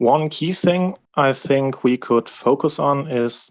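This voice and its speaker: A man with a non-native accent speaks at a very slow pace. The sound is dry and close with no echo, and the background is quiet. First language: not English. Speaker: community member. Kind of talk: Q&A session. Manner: halting.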